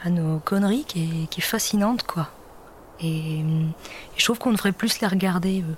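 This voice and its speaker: A medium-pitched woman's voice with lively intonation at a moderate pace, over noticeable background noise. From Brittany / Nantes area, France. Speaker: explorer and musician. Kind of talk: interview testimony. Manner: halting, many hesitations.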